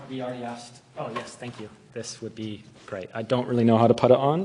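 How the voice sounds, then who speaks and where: A man with an American accent at medium pitch and a very fast pace, over noticeable background noise. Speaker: tutorial leader at summer school. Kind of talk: tutorial.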